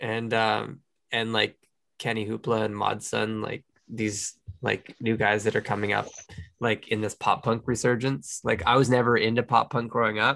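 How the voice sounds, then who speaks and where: The man's bright, sharp tone carries vocal fry at a medium pitch. He keeps a moderate pace with monotone, flat intonation. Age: 30s. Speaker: podcast co-host. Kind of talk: casual chat. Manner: halting.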